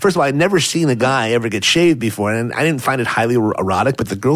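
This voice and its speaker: A man's medium-pitched voice, very fast and lively in intonation, with noticeable background noise. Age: 40s. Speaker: celebrity scandal fixer. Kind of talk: casual chat. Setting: studio.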